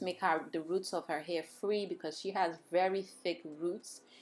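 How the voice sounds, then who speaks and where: A woman with a Nigerian accent, fairly low in pitch and fairly even in intonation, at a moderate pace, in a very clean recording with a silent background. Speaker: hair braider. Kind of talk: tutorial. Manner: casual, chatty.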